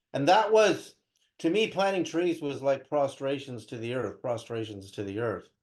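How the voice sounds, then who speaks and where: Over a quiet background, a man with an American accent and a fairly high pitch makes very wide pitch swings at a moderate pace. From US West Coast (Berkeley, California). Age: 60s. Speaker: spiritual teacher and researcher. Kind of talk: interview.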